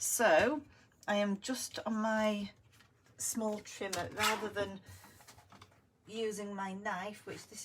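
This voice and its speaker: The woman's voice sits at medium pitch. It comes across as somewhat breathy. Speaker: crafting video host. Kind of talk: crafting tutorial. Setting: live stream on camera.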